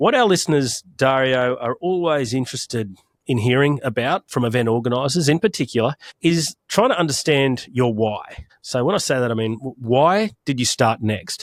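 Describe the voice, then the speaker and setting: Man with an Australian accent, lively intonation and a moderate pace, in a dry, close sound with no echo. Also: medium pitch for a man. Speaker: podcast host. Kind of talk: podcast interview.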